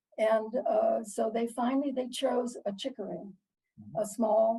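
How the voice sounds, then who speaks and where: The voice has a dark, mellow tone with vocal fry and ordinary pitch variation. It moves at a fairly slow pace. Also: woman. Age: 80s+. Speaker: piano teacher. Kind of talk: interview answer, personal storytelling.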